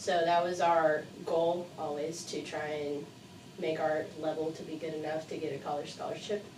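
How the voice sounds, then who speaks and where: Amid noticeable background noise and audible room echo, a woman with a very deep, low pitch speaks in a monotone, flat intonation at a moderate pace. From Mexico (La Paz), bilingual with American father. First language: Spanish. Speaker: university student life coordinator. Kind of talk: interview.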